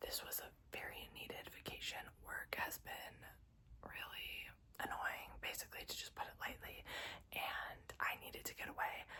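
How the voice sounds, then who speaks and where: A whisper at a moderate pace. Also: woman. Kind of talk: ASMR whisper ramble. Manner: whispered.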